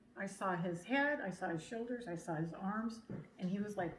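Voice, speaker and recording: In a room with audible echo, a woman talks at a fairly quick pace and a medium pitch, with ordinary pitch variation. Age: old. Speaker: camp attendee giving testimonial. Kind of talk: testimony. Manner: animated.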